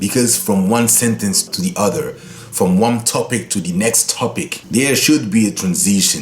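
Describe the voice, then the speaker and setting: A man's medium-pitched voice in a Congolese accent, with very wide pitch swings at a moderate pace, over noticeable background noise. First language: Lingala. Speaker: guitar teacher. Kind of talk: tutorial; channel outro.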